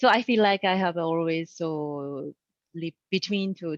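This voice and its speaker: A woman with a Japanese accent talks at a fairly slow pace. Her pitch varies in an ordinary way, and the sound is dry and close with no echo. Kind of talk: casual panel conversation.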